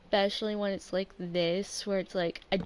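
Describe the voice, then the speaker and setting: A quiet woman speaks at a medium pitch in a monotone, flat intonation. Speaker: gaming streamer. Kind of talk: casual gameplay livestream talk. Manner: halting, many fillers.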